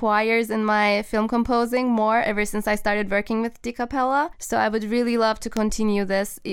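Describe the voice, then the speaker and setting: In a very clean recording with a silent background, a woman with a Turkish accent speaks fairly quickly in a fairly high pitch. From Turkey. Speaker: film composer. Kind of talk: podcast interview.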